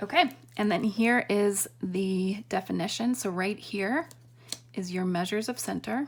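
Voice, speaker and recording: A woman with a plain, everyday voice, medium pitch, ordinary pitch variation and a fairly slow pace. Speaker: math teacher. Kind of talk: tutorial.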